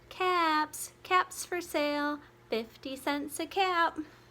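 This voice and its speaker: In a squeaky, put-on character voice at an extremely high pitch, a woman speaks very slowly with fairly even intonation. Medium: read story. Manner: calling, emphatic.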